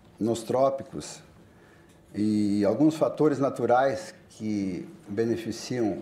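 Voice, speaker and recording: Using a dark, mellow tone, a man at medium pitch speaks at a very slow pace. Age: 60s. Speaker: politician and farmer. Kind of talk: panel discussion. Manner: halting.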